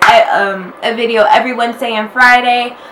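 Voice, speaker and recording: The pace is fairly slow. Noticeable background noise and audible room echo fill the recording. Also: woman. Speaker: YouTuber. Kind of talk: casual vlog talk. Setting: at home, wearing a robe. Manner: chatty, filler-heavy.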